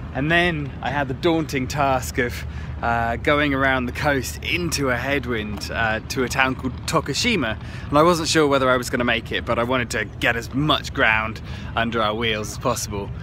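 At a moderate pace, a man talks in a dry sound with no echo against noticeable background noise. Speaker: travel vlogger on a scooter trip. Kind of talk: casual vlog chat. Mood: upbeat, reflective. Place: waterside. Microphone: phone near.

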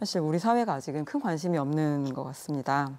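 This woman's voice has a dark, mellow tone. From South Korea. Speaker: secretary general of a women's environmental NGO; interview guest. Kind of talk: news interview. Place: studio.

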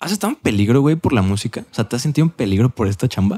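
A man with a Mexican accent talks at a very fast pace with lively intonation. The background is quiet. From Mexico. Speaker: podcast host. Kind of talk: casual chat. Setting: studio. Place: studio. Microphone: studio mic.

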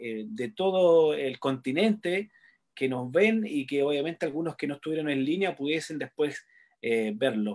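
A fairly slow delivery on a very clean recording with a silent background. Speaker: sports interviewer. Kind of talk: interview. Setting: live stream. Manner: halting, frequent fillers.

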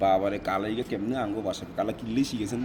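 A voice with a Noakhali accent comes through noticeable background noise. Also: man. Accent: speaks Bengali with Noakhali regional dialect. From South Africa. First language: not Bengali (South African) (speaking Bengali). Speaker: Bengali-speaking foreigner interviewee. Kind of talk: casual interview.

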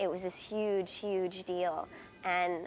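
Music plays behind a woman speaking at a fairly low pitch. Her intonation is monotone and flat. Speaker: actor in a theatre company. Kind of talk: interview answer. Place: stage.

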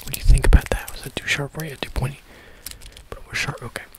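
Someone whispers, soft-spoken and at a very fast pace, in a dry sound with no echo against loud background noise. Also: man. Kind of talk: ASMR roleplay chat. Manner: soft ASMR whisper, close to mic. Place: home room. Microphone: phone near.

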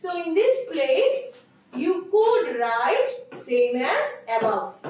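Over audible room echo, a woman with a Bengali accent talks at a very slow pace with very wide pitch swings. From Bangladesh. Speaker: teacher. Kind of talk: lecture. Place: classroom.

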